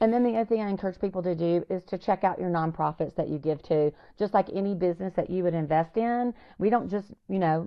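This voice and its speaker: A woman with a Southern US accent speaks at a very fast pace with ordinary pitch variation. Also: medium pitch for a woman. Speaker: nonprofit founder. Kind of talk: podcast interview. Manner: animated.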